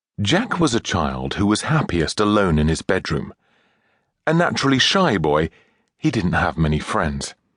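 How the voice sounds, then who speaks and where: Vocal fry and very wide pitch swings come through at a moderate pace in a dry, close sound with no echo. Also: man, fairly low pitch for a man. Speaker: audiobook narrator. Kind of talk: audiobook narration, children's story.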